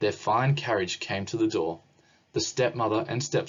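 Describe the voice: Aloud, plain reading.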